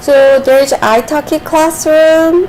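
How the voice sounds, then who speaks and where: Over noticeable background noise, a woman speaks with a Korean accent. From South Korea. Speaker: streamer and Korean tutor. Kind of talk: casual live stream chat. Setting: live stream. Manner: halting.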